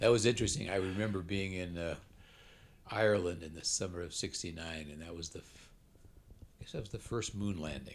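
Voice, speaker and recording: A man with a Californian accent and a very deep, low voice speaks at a fairly quick pace, with ordinary pitch variation, big swings in loudness, and long, frequent pauses. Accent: General American (Californian). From US West Coast (Oakland, California). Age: 80s+. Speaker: retired statistician. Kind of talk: casual interview. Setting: at home.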